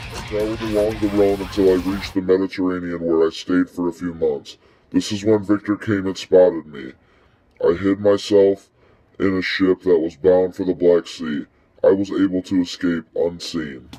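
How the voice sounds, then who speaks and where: A man uses a put-on character voice with a very deep, low pitch. He speaks at a moderate pace. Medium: stage play. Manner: brooding storyteller.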